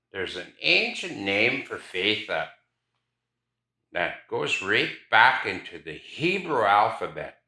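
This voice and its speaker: At a very slow pace, a man speaks with big swings in loudness and long, frequent pauses. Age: old. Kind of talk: interview storytelling.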